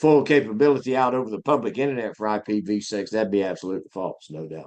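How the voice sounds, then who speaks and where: The speaker has a Southern US accent, lively intonation and a moderate pace. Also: man. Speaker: IT instructor. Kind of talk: live lecture. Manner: casual, with hesitations.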